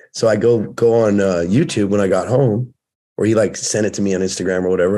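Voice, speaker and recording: A man with a dark, mellow tone and fairly low pitch talks at a fairly quick pace with an American accent. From US West Coast, Oceanside, California; California. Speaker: fitness and fatherhood coach, former firefighter; fatherhood coach. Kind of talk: casual chat. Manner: animated. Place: home room. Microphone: webcam.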